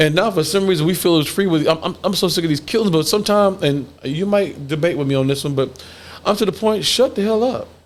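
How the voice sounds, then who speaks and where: Amid noticeable background noise, a man talks at a very fast pace in an animated tone. His pitch is high, with ordinary pitch variation. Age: 50s. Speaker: podcast host. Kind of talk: casual chat.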